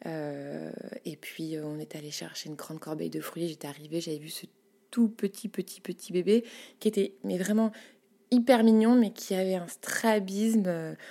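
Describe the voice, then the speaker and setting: Using a plain, everyday voice, a woman speaks fairly slowly at a medium pitch, with ordinary pitch variation and big swings in loudness. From Paris, France. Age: 30s. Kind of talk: casual interview. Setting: home studio.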